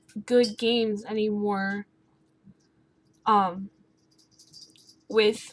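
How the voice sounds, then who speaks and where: Soft-spoken and monotone, a woman speaks at a fairly high pitch with flat intonation. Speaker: gaming YouTuber. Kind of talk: casual talk to camera.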